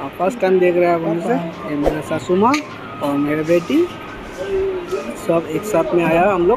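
A man with a fairly high pitch, ordinary pitch variation, and a moderate pace, over clear background noise.

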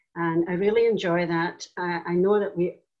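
A woman speaks with a Scottish accent and fairly even intonation. The background is quiet. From Scotland, Tarbert, Argyll. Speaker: church elder. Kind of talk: interview conversation. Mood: warm, reflective. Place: home room. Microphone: video call.

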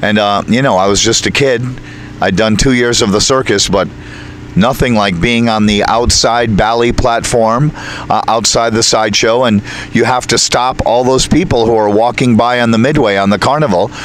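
At a moderate pace, a man with a medium-pitched voice talks with very even loudness and fairly even intonation, the sound dry with no echo and light background noise. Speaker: circus ringmaster. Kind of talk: interview answer. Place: open country. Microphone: handheld.

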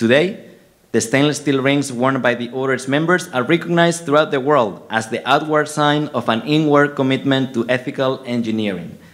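A man with a Spanish accent, a fairly quick pace and ordinary pitch variation. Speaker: engineering professor giving a ceremony speech. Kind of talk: formal speech. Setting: stage. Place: hall.

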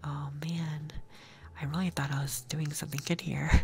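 A soft-spoken man talks at a fairly slow pace in a soothing, somewhat breathy tone. His intonation stays fairly even over light background noise. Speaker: ASMR gaming streamer. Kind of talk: ASMR gaming commentary. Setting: binaural microphone recording. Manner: soft-spoken, soothing. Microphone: studio mic.

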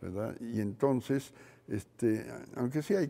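The man has a voice with a dark, mellow tone. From Mexico. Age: 80s+. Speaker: neuroscientist; interviewee. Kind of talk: interview. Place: studio. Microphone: lapel.

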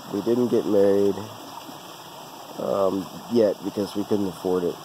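The speech moves at a fairly quick pace in a dry sound with no echo. Noticeable background noise runs underneath. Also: man. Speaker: vlogger telling life story. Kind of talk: casual vlog chat. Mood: relaxed, personal storytelling. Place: forest. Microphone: phone near.

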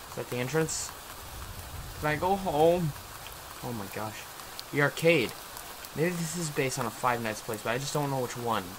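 Noticeable background noise runs under the voice. The pace is moderate, broken by long, frequent pauses. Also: man. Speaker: gamer. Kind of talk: gameplay commentary. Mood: frustrated, nervous.

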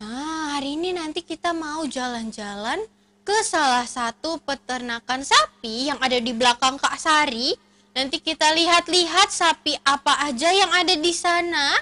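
The voice is raised and projected. Its tone comes across bright and sharp. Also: woman, moderate pace. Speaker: event host for preschool children. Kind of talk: cheerful presenting to children.

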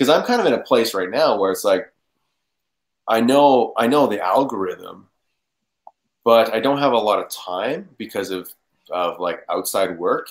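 Lively intonation from a man at a fairly low pitch, fairly slow, with long, frequent pauses

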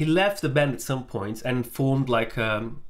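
At a moderate pace, a man speaks at medium pitch with lively intonation.

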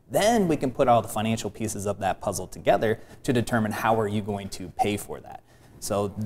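At a fairly quick pace, a man with an unremarkable speaking voice talks in a fairly low pitch with ordinary pitch variation and big swings in loudness over light background noise. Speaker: guest. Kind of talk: interview answer. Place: studio. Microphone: lapel.

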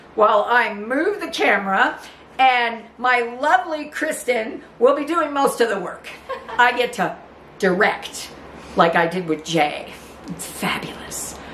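Light background noise and audible room echo accompany a woman with a high pitch who speaks at a fairly slow pace. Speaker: home cook host. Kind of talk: casual cooking vlog chat. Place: kitchen.

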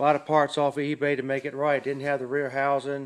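The speaker is male. He talks at a moderate pace. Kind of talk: casual show-and-tell commentary. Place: workshop. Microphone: phone near.

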